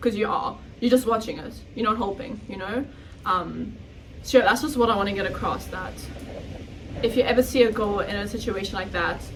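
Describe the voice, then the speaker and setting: Noticeable background noise and audible room echo surround a woman with a fairly high pitch and ordinary pitch variation who speaks with big swings in loudness and long, frequent pauses. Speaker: podcast co-host. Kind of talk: casual chat.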